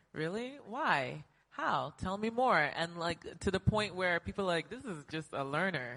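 A woman's bright, sharp, fairly low-pitched voice with an American accent, very wide pitch swings and a moderate pace. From United States. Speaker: health startup co-founder and CEO. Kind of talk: panel discussion. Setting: stage with audience.

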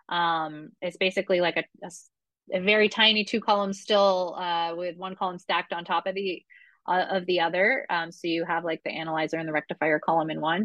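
A woman with an American accent talks at a fairly quick pace with fairly even intonation, a normal speaking voice. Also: fairly low pitch for a woman. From Vermont, US. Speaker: rum brand representative, former bartender. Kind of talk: interview.

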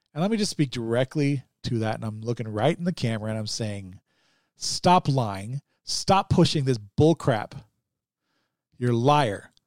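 A man talks at a moderate pace and a medium pitch, with lively intonation and long, frequent pauses. The recording is very clean, with a silent background. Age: 40s. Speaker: podcast host, former police officer. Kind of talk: casual monologue. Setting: home, on camera. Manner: halting.

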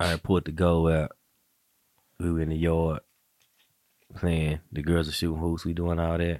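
A relaxed man with a very deep, low voice, monotone and flat, at a moderate pace with long, frequent pauses, in a dry, close sound with no echo. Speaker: podcast host. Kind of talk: casual chat. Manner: relaxed, joking.

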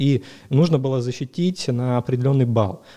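A man talks at medium pitch with ordinary pitch variation. His tone is dark and mellow. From Crimea, Ukraine (Dzhankoy). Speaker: entrepreneur, founder of a medical booking service. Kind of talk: interview.

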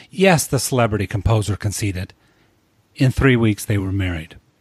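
A man talks at a moderate pace with ordinary pitch variation. His voice is somewhat breathy. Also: dry, close sound with no echo, very clean recording, silent background. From small rural town. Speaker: podcast host. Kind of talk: scripted narration; interview.

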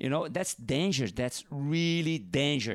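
Talking at a fairly slow pace in a Brazilian accent, a man has a fairly high pitch with ordinary pitch variation, on a very clean recording with a silent background and a dry, close sound with no echo. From northeast Brazil. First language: Portuguese. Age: 50s. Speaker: professional big wave surfer. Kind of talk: casual interview chat. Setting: at host's home over wine. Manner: halting, frequent repetitions.

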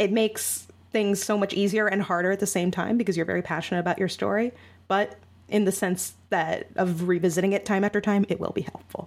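A medium-pitched woman's voice with vocal fry, fairly quick in pace and monotone, flat in intonation. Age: 20s. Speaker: young adult novelist and writing mentor. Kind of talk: interview.

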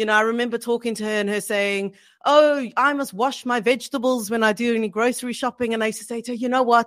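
Talking at a very fast pace, a woman keeps a fairly high pitch and fairly even intonation. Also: very clean recording, silent background. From South Africa. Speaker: children's book author. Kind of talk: casual interview.

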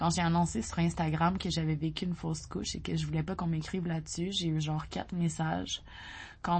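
A woman with a Quebec accent speaks in a fairly low, somewhat breathy voice, her intonation flat and monotone. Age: 30s. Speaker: newsletter writer. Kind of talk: reading aloud.

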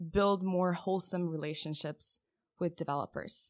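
Her voice sits at a fairly low pitch for a woman. The recording is very clean, with a silent background. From Lithuania. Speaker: tech startup founder. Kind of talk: podcast interview.

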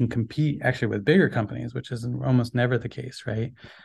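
A somewhat breathy man at medium pitch, talking at a very fast pace. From Philippines. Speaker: startup co-founder, software engineer. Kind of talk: interview.

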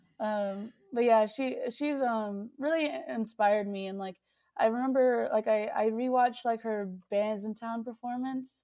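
A woman with a Texan accent speaks in a dark, mellow tone. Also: fairly high pitch for a woman, ordinary pitch variation, fairly slow pace. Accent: Texan American. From Texas. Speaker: singer-songwriter and producer. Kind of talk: casual interview chat.

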